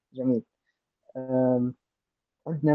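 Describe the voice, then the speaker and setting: A man speaks with a Libyan accent. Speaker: podcast host. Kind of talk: moderated discussion.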